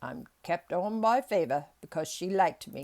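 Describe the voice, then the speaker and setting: In a put-on, gruff character voice with a Yorkshire accent, the speaker talks at a moderate pace and middle pitch. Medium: read story. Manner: dry, gruff.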